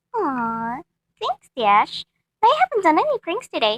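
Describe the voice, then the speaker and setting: Slow-ish and extremely high, a female-sounding put-on character voice moves at a fairly slow pace. Its pitch swings very widely. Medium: read story. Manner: gleeful, bubbly.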